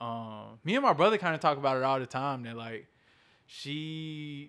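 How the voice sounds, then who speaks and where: In a Southern US accent, a man with a medium pitch speaks in a bright, sharp tone with ordinary pitch variation. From Columbus, Georgia, US South. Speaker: guest, movement activist. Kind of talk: casual interview chat. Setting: video call.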